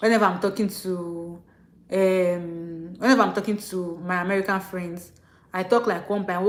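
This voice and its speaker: A woman speaks at a medium pitch with a Nigerian accent. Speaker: international student vlogger. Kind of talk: livestream rant. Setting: live stream. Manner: fast; animated.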